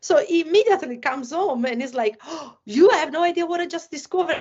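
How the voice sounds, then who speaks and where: With an Italian accent, a woman speaks at a fairly quick pace in an extremely high pitch. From Italy. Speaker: former motocross champion and esports company staff. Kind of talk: casual podcast interview. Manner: halting, many fillers.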